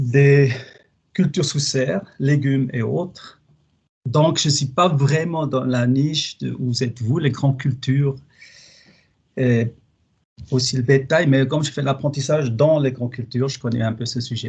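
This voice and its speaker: A man with a slight Swiss German accent talks at a fairly slow pace, with medium pitch and fairly even intonation. His voice is somewhat breathy, broken by long, frequent pauses. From German-speaking Switzerland, Basel. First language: Swiss German (speaking French). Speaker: plant pathologist researcher. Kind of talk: webinar presentation. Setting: online webinar. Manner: hesitant, with fillers.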